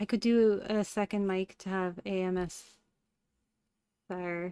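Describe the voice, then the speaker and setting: A woman speaks at a medium pitch with a Cork accent. The sound is dry and close with no echo, in a very clean recording with a silent background. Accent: Cork Irish. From Ireland, Cork. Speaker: streamer. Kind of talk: casual chat. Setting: live stream. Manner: animated.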